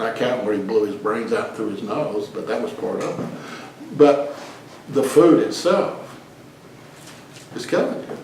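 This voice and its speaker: Over noticeable background noise, with room echo clearly audible, a man talks at a moderate speed. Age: 60s. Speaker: lay preacher leading a group talk. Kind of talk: informal teaching in casual group discussion. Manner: casual, conversational.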